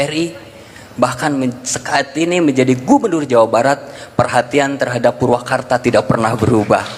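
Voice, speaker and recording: A man talks at a moderate pace with a medium pitch. Noticeable background noise accompanies his fairly even intonation. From West Java, Sundanese (non-Priangan). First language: Sundanese (speaking Indonesian). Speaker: event speaker. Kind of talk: public speech.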